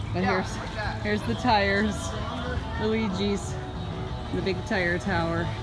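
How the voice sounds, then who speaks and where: Fairly slow speech over loud music in the background. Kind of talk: casual vlog chat. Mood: cheerful. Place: street. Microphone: phone near.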